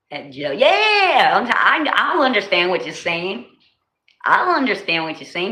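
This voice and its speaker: A woman with a New Jersey accent speaks in an animated tone at a moderate pace. Audible room echo surrounds her voice. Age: 40s. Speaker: livestreamer. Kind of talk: casual chat. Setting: livestream.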